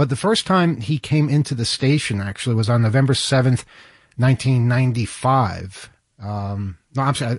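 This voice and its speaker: A man with a somewhat breathy voice talks at a moderate pace and medium pitch, with ordinary pitch variation, against a quiet background. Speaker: radio host. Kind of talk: casual chat. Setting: studio.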